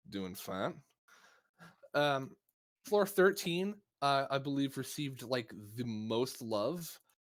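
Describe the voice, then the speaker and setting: This speaker talks at a very slow pace with long, frequent pauses and very wide pitch swings. The recording is very clean, with a silent background. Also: man, fairly high pitch for a man. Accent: Midwestern. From US Midwest (Missouri). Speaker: podcast host. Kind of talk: casual chat.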